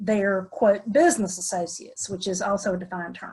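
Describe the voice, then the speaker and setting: A woman speaks with a Southern US accent. Her voice is somewhat breathy and her pace moderate. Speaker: attorney. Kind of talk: webinar presentation.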